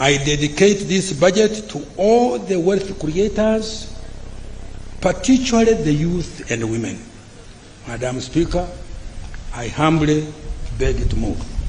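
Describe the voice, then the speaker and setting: High-pitched, a man talks at a very slow pace with very wide pitch swings and long, frequent pauses, amid audible room echo and noticeable background noise. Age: 80s+. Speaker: finance minister. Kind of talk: budget speech. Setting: parliament. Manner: halting.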